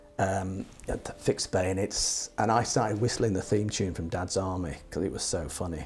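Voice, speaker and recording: A man with a British accent speaks at a moderate pace in a very deep, low pitch, his voice somewhat breathy. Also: ordinary pitch variation. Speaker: war veteran. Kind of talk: interview answer.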